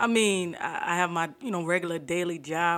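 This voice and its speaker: In an American accent, a woman uses a normal speaking voice at a moderate pace and a fairly low pitch. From US South, Fort Lauderdale, Florida. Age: 30s. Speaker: research administrator. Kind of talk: casual chat.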